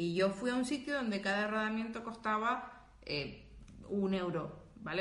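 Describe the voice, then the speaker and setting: A woman is heard through noticeable background noise and audible room echo. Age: 20s. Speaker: podcast co-host. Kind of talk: casual chat. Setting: live stream.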